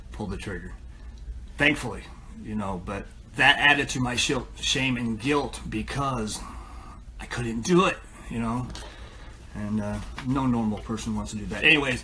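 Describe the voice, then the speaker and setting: Speaking with an American accent, a man's voice comes through with audible room echo. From US Midwest, northwest Ohio. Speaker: recovering addict sharing story. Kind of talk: testimony. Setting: live stream. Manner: halting.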